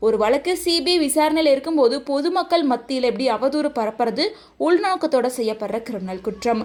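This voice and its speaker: Her pitch is high and her intonation lively as this woman speaks. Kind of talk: news-style voiceover narration of a viral video.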